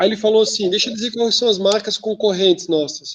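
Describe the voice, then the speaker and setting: A man speaks in a southern Brazilian accent. His voice is high-pitched. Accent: southern Brazilian sing-song. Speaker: teacher. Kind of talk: lecture. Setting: video call. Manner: casual, with many fillers.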